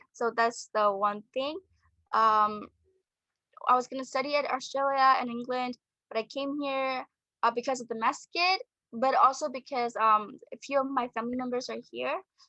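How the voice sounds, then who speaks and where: A woman projects a raised, high voice with a bright, sharp tone and ordinary pitch variation at a moderate pace, the sound dry and close with no echo. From Burma. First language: Burmese. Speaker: architecture student. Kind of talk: interview. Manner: halting.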